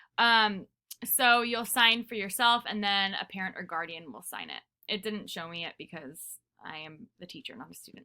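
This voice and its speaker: A woman's medium-pitched voice, bright and sharp in tone, with lively intonation and big swings in loudness. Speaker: teacher. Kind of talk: recorded class lesson. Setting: pre-recorded video lesson. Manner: fast; casual, filler-heavy.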